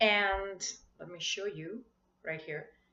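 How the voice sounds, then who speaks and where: This woman speaks with a Marathi accent. Her pace is very slow, with ordinary pitch variation. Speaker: spiritual coach vlogger. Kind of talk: casual vlog talk. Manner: halting.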